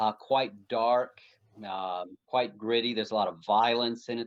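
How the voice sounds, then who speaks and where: A man with an American accent and a normal speaking voice, medium in pitch, at a moderate pace. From United States. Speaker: pastor and author. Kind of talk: interview conversation.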